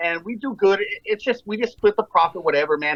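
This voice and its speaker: A man with an American accent, fairly quick pace and ordinary pitch variation. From El Paso, Texas. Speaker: TikTok creator. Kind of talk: casual chat.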